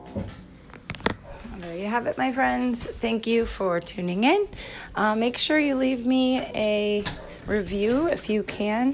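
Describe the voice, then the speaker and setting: A woman with an American accent, speaking very slowly with ordinary pitch variation amid noticeable background noise. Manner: relaxed, low-key, reflective.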